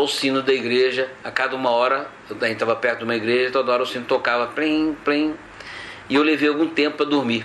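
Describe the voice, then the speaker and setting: The voice stays monotone, with flat intonation, and noticeable background noise runs beneath it. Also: man. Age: 60s. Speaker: pilgrim. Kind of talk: testimony. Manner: halting.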